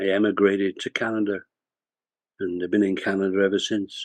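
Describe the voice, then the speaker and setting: A man with a Lancashire accent talks at a fairly quick pace against a quiet background, in a dry, close sound with no echo. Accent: Lancashire accent, kept for life. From northern England (Bolton, Lancashire). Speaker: retired corporate executive and author. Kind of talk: interview storytelling.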